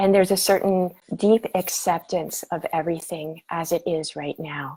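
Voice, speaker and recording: Her tone is dark and mellow, and her pitch fairly low. The woman keeps her intonation fairly even. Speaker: spiritual teacher. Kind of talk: guided meditation talk. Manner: slow; calm, many hesitations.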